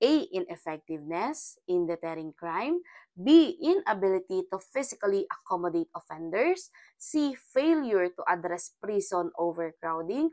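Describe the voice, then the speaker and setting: A woman with a dark, mellow tone speaks at a fairly slow pace with very wide pitch swings. The recording is very clean with a silent background and a dry, close sound with no echo. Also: medium pitch for a woman. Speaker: criminology review lecturer. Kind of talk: lecture. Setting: screen recording on iPad, no camera.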